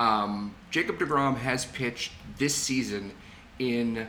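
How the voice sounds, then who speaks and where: This man has a medium pitch and a bright, sharp tone. Audible room echo surrounds his voice. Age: 40s. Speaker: podcast co-host. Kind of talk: casual chat.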